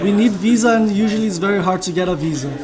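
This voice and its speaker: Over background music and audible room echo, a man with a Brazilian accent speaks at a high pitch. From Brazil, São Paulo. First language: Portuguese. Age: young. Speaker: missionary. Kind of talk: interview.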